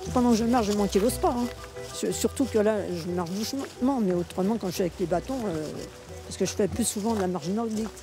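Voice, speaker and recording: A woman talks at a very fast pace with a medium pitch and ordinary pitch variation. Music plays in the background. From Paris. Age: 80s+. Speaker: senior sprinter. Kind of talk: interview.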